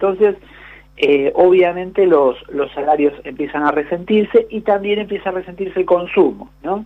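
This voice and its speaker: High-pitched for a man, his voice shows ordinary pitch variation. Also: moderate pace. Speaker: economics columnist. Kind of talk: radio interview.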